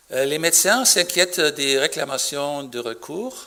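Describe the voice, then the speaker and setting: A man with a German accent speaks at a fairly high pitch with ordinary pitch variation. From Germany. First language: German (speaking French). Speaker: physician. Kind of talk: conference talk. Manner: halting.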